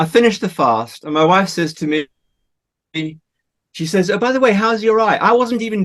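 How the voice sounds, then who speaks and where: Lively intonation marks this man's speech, which sits at a high pitch. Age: 60s. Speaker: water revitalisation advocate. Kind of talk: personal testimony in interview. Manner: halting, repeats words.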